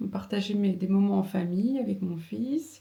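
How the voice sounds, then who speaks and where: A woman speaks at a fairly slow pace with a somewhat breathy, dark and mellow tone at a medium pitch. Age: 30s. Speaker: vlogger and seamstress. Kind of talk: casual vlog. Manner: halting, many fillers.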